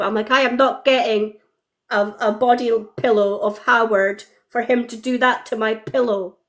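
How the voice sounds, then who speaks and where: The voice carries a Scottish accent and ordinary pitch variation. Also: woman. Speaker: fan guest. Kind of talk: casual chat. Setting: live video stream.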